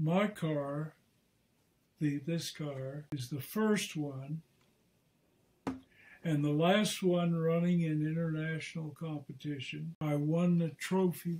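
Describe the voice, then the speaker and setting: A man talks at a very slow pace with long, frequent pauses. His intonation stays fairly even. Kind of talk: interview answer. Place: home room.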